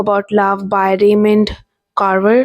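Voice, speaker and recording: A woman with an Indian accent speaks at a medium pitch in a monotone, flat delivery. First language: Hindi. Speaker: book vlogger. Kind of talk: casual vlog talk. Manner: hesitant, many fillers.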